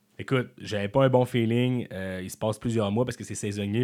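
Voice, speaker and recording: At a very fast pace, a man speaks at a medium pitch with monotone, flat intonation in a very clean recording with a silent background. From Quebec City area, Quebec. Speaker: comedian. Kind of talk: casual chat. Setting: studio.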